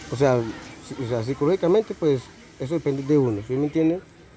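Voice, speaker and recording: A man at medium pitch and a fairly quick pace, with ordinary pitch variation over noticeable background noise. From Colombia, Puerto Boyacá. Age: 20s. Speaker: homeless man, drug user. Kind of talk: street interview. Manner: halting, many repetitions.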